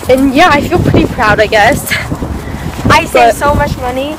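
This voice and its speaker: Loud background noise surrounds speech at a moderate pace, with a dry sound and no echo. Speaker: vlogger. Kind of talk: casual vlog chat. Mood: cheerful, giggly. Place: street. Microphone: phone near.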